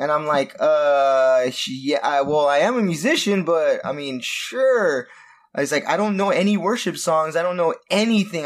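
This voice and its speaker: A man with an American accent speaks at a fairly high pitch. His intonation is lively. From Southern California. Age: 30s. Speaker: former worship leader. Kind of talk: casual chat.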